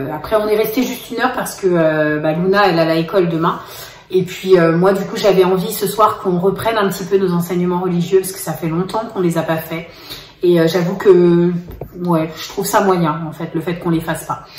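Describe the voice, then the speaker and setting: Audible room echo surrounds a woman's voice. Her pitch varies in an ordinary way. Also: moderate pace. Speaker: family vlogger. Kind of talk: casual vlog chat. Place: kitchen. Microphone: phone near.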